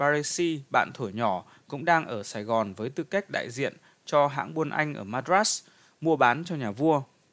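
Against a quiet background, a man uses a normal speaking voice, fairly high in pitch, with lively intonation and a fairly slow pace. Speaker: narrator reading a history book. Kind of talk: reading aloud. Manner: formal.

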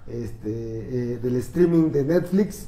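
A man's voice shows ordinary pitch variation, with audible room echo in the recording. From Mexico. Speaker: political commentator and columnist; political commentator. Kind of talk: casual political debate. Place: studio. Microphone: camera far.

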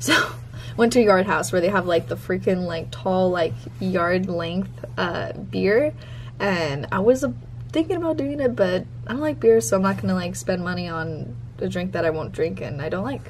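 A woman talks at a moderate pace. Light background noise can be heard. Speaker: vlogger. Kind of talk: casual vlog chat. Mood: excited, upbeat. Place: home room. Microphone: phone near.

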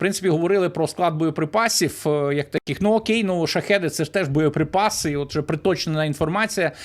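A man speaks very fast in a high voice, with ordinary pitch variation. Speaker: news commentator. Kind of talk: solo news commentary. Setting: recorded video.

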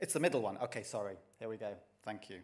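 Vocal fry at a moderate pace. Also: man. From Kent, England. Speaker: geology professor. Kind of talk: public lecture. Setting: stage with audience. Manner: enthusiastic. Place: hall.

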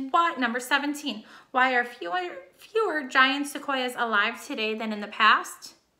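With a raised, projected voice, a woman speaks at a fairly slow pace in a high pitch and a bright, sharp tone, against a quiet background. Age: 30s. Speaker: teacher. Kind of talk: reading lesson for pupils. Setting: recorded video lesson. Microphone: webcam.

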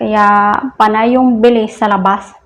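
A woman's intonation is monotone and flat throughout. She talks very slowly. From Philippines. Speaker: vlogger. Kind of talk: casual vlog talk. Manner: laughs often.

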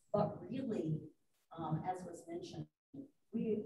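With a somewhat breathy voice, a woman talks at a moderate pace and ordinary pitch variation, with light background noise and audible room echo. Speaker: audience member and club member; audience member. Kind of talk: audience question and discussion. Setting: forum with live audience. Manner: outgoing. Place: meeting room. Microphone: video call.

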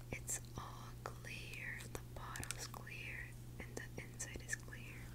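A soft-spoken woman whispering at a very slow pace. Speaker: ASMR creator. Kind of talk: soft ASMR show-and-tell. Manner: soft close ASMR whisper. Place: home room. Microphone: earbuds.

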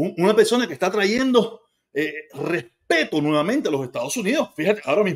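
Very wide pitch swings in a Cuban accent, over a quiet background. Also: man, high pitch for a man. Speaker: commentator. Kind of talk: angry political rant. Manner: ranting, sarcastic; loud, heated, mocking. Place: kitchen. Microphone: phone near.

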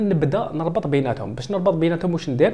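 A very fast, somewhat breathy male voice, fairly high in pitch, with a dark, mellow tone. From Algeria. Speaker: software tutor. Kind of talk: tutorial.

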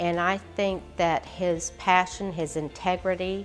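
Faint music sits behind a woman whose fairly low voice stays flat and monotone at a very slow pace. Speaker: candidate. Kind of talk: interview answer. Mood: earnest, supportive. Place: home room.

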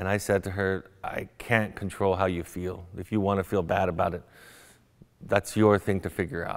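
A man with an American accent speaks in a very deep, low voice at a moderate pace. His intonation is monotone and flat, over a quiet background. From US West, Orange County, California; California. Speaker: psychotherapist; guest. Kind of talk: lecture. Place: hall. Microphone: lapel.

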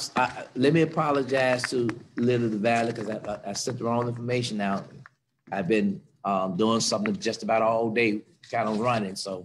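With light background noise behind him, a man of medium pitch talks at a moderate pace with ordinary pitch variation. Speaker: pastor leading prayer and Bible study. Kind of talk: fervent prayer with congregational call-and-response, leading worship. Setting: church service streamed on Facebook and Zoom. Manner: fervent, rhythmic, repetitive, building in emotional intensity, exclaiming praise; exhortative, urging the congregation to join in. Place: church. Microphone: video call.

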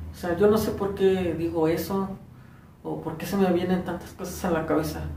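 Amid audible room echo and light background noise, a man with a high pitch speaks at a moderate pace. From Morelos, Mexico. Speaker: first-time vlogger. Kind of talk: casual talk to camera. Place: home room. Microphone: phone near.

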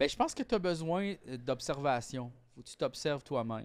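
Here a man speaks with a Quebec accent. His pace is fairly quick. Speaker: comedian podcast co-host. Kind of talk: casual chat. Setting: studio. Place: home room. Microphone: studio mic.

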